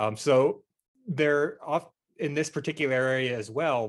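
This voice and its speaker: Over a quiet background, a man speaks at a fairly slow pace with ordinary pitch variation in an unremarkable speaking voice. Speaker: committee chair and percussion teacher. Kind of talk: panel discussion. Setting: video call.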